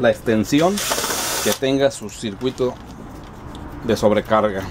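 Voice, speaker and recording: A man talks at a fairly slow pace. Noticeable background noise runs underneath. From Mexico, rural village. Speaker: YouTube DIY electronics presenter. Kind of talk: tutorial. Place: workshop.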